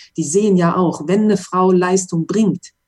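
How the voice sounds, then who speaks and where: Her tone is dark and mellow, somewhat breathy, at a medium pitch for a woman. She speaks at a moderate pace with fairly even intonation. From western Germany, Mönchengladbach. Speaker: former racing driver. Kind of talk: interview.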